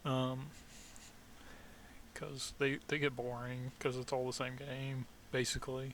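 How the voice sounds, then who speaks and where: A man with a slight Southern US accent speaks in a monotone, flat way, leaving long, frequent pauses. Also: medium pitch for a man, fairly slow pace. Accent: slight Southern twang. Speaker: vlogger, army veteran. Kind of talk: casual monologue vlog. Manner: halting, many fillers.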